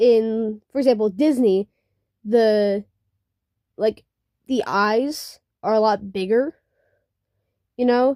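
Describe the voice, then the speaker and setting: A woman speaks very slowly at a fairly high pitch, her tone dark and mellow, her pitch varying in an ordinary way, and the sound dry and close with no echo. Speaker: digital artist. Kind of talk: casual draw-with-me commentary. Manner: halting, many fillers; unscripted, casual.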